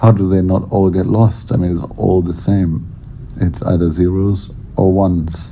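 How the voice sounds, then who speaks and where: Very deep, low pitch from a man, with fairly even intonation at a moderate pace and noticeable background noise. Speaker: artist. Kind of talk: unscripted spoken word piece. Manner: serious yet amusing.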